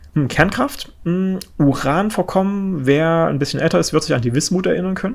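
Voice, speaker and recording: A man's high pitch shows ordinary pitch variation as he talks at a moderate pace. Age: 30s. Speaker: podcast host on energy industry. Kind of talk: solo explanatory podcast. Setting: home office, different room. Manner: many filler sounds (äh, ähm).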